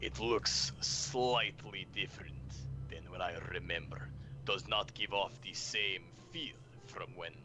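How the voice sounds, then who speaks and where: A man uses a put-on character voice with a very deep, low pitch. He talks at a fairly slow pace against clear background noise. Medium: actual play. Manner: broken, clipped orcish grammar.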